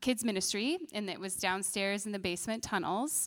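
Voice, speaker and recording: An ordinary speaking voice with an American accent and ordinary pitch variation. The recording is very clean, with a silent background. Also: woman. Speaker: church children's ministry director. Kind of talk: testimony and church announcements.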